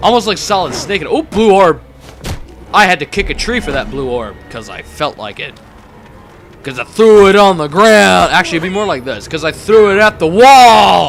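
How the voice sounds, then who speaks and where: Over music in the background, a man talks at a high pitch and a moderate pace. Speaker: gaming video commentator. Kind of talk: let's play commentary. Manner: casual, rambling with fillers.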